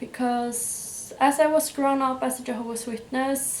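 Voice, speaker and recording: A woman with a Norwegian accent speaks at a high pitch with monotone, flat intonation. Audible room echo and noticeable background noise fill the recording. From Norway. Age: 20s. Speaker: YouTuber. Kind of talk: personal testimony. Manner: hesitant, with fillers.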